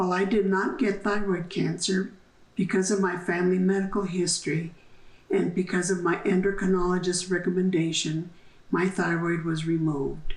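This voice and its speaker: A woman with an American accent talks at a moderate pace and medium pitch, her loudness very even. Her intonation is flat and monotone, and the room echo is audible. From New Mexico, US Southwest. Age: 70s. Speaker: downwinder testimony giver. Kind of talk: testimony. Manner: formal.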